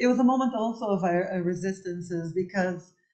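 The background stays quiet. A woman's tone is dark and mellow. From Cabo Verde. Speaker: architect; architect lecturer. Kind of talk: lecture. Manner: halting, many fillers. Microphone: webcam.

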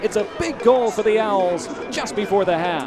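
Over noticeable background noise, a man speaks in an excited tone at a moderate pace. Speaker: soccer commentator. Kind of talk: live soccer match commentary. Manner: excited, rising intensity at goals.

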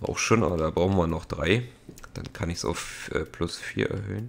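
Lively intonation marks this man's speech. He moves at a fairly slow pace. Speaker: let's play gamer. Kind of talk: gameplay commentary. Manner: casual, frequent laughs.

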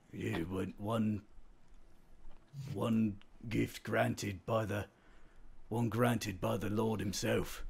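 A put-on character voice, raspy and monotone, with flat intonation. It moves at a very slow pace with long, frequent pauses. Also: man, fairly low pitch for a man. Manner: surly, blunt, cursing.

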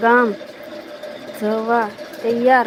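A woman uses a raised, projected voice while noticeable background noise carries on behind her. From Gujarat, Bhavnagar district (Saurashtra). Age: 60s. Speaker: village live-streamer. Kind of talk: casual live stream chat with viewers.

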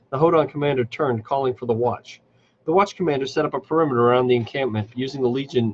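Natural reading voice, its pitch varying in an ordinary way

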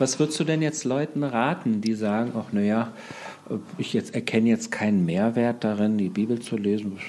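A man talks in an ordinary speaking voice, with ordinary pitch variation. His pace is moderate. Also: medium pitch for a man. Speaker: podcast host interviewer. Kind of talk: interview conversation.

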